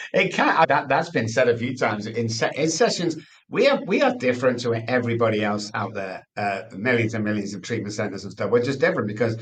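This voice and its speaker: An animated man with a Mancunian accent, at a very fast pace with ordinary pitch variation. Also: medium pitch for a man. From England, Manchester. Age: 60s. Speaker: addiction expert. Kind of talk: interview.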